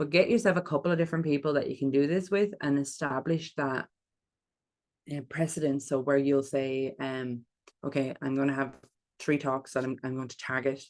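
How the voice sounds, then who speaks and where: The voice is a woman's. It sits very deep and low, with its pitch shifting in an ordinary way. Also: moderate pace. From Ireland. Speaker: public speaking coach. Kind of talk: online workshop talk.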